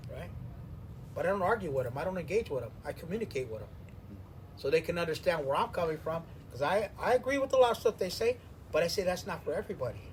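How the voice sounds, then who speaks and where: A man with an American accent talks at a very fast pace in a high voice with very wide pitch swings. Long pauses come often. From Venice, Los Angeles, California. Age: 60s. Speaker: interviewee in an oral history, former inmate. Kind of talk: interview, reflective life story.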